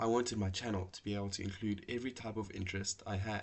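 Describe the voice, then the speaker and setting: Very fast and in monotone, flat intonation, a man delivers his words. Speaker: computer science student. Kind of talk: personal story narration.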